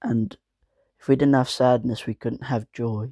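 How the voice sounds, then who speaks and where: A man with a medium pitch and a dark, mellow tone speaks at a moderate pace with fairly even intonation, in a dry, close sound with no echo. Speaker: gaming video creator. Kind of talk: casual vlog talk to camera. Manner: monotone.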